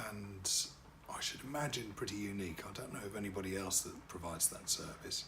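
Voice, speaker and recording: A man speaks at a fairly low pitch. Room echo is audible. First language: French. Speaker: wedding DJ and MC. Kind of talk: promotional self-introduction to camera. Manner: hesitant, many fillers.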